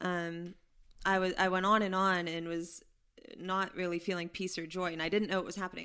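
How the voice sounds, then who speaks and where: In a very clean recording with a silent background, a woman with an American accent speaks at a fairly quick pace and medium pitch, her tone bright and sharp and her intonation monotone and flat. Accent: some Pennsylvania expressions. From Pittsburgh, Pennsylvania. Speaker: biblical counselor. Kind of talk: testimony. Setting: at home in a kitchen.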